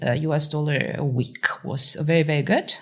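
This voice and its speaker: With vocal fry and a very deep, low pitch, a woman is speaking. Her pace is moderate. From Russia (Moscow). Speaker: tech founder and CEO. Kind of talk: podcast interview. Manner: many filler words (uh).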